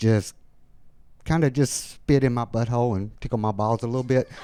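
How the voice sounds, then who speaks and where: A man with an Alabama accent, fairly even in intonation, at a moderate pace. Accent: Alabama Southern. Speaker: amateur stand-up comedian. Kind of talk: stand-up; casual interview chat. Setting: stage with live audience. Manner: halting, many fillers.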